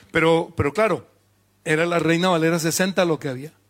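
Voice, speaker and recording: A man's high-pitched, animated voice at a moderate pace with ordinary pitch variation, on a very clean recording with a silent background. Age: 50s. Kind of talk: sermon.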